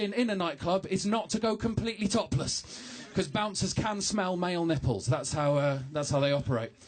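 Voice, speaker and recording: With lively intonation and a moderate pace, a man talks over noticeable background noise. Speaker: stand-up comedian. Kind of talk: stand-up. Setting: stage with audience, broadcast on radio. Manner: animated.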